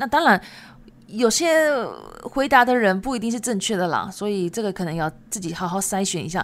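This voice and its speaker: Lively intonation runs through a delivery at a fairly quick pace. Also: woman. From Japan. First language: Japanese and Chinese (speaking Chinese). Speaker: Japanese language teacher. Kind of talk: podcast monologue. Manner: casual, chatty.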